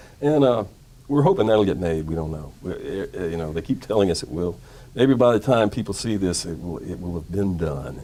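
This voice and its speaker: A man with a Mississippi accent, vocal fry, a dark, mellow tone and lively intonation. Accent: Mississippi Southern. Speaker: comedy screenwriter. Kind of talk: interview. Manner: relaxed, conversational with frequent fillers.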